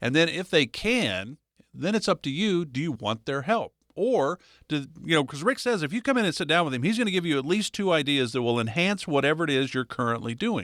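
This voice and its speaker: Speaking fairly quickly with an American accent, a man uses a fairly high pitch with very wide pitch swings. The recording is very clean with a silent background and a dry, close sound with no echo. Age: 60s. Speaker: radio co-host. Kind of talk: radio show talk.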